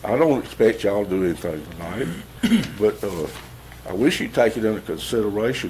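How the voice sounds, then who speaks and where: A fairly low-pitched man with a Southern US accent, a fairly quick pace, long, frequent pauses and noticeable background noise. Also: ordinary pitch variation. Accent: Southern US (Georgia). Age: 70s. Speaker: resident speaking at public comment. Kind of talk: public comment at county meeting. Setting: county commission meeting room. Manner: halting.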